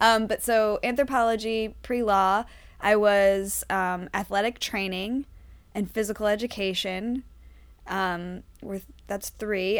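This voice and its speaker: A woman with a medium pitch speaks in an unremarkable speaking voice at a fairly slow pace. Her intonation stays fairly even, and the recording is very clean with a silent background. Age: 30s. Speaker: actress and improviser. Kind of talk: casual chat.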